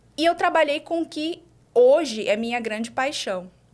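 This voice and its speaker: At a moderate pace, a woman is speaking. Her intonation is lively. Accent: Maranhão. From Brazil, Imperatriz, Maranhão. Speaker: doctor and exam-prep teacher. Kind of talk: podcast interview. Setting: live podcast studio.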